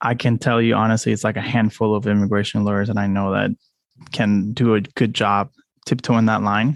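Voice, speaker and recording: At a fairly quick pace, a man speaks with a fairly low pitch, monotone, flat intonation and very even loudness. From Puerto Rico, moved to Georgia at 13. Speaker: immigration lawyer, firm owner. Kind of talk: casual interview chat.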